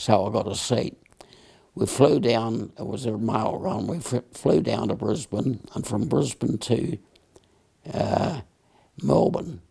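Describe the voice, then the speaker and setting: A man speaks at a very slow pace with very wide pitch swings. Long pauses come often. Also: medium pitch for a man. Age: 80s+. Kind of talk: interview answer. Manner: hesitant, slow.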